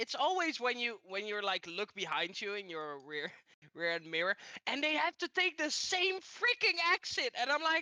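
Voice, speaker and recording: Someone speaks at a moderate pace with a Dutch accent. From Netherlands. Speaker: podcast co-host. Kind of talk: casual chat. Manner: animated.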